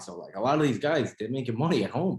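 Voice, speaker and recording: A man with lively intonation at a fairly quick pace. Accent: New York. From New York City. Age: 20s. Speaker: restaurant owner. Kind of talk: casual chat.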